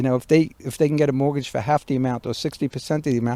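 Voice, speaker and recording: Over a very clean recording with a silent background, a man talks at a very fast pace in a fairly high pitch with a dark, mellow tone, the sound dry and close with no echo. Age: 60s. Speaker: builder. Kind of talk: casual interview conversation. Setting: outdoors in a backyard.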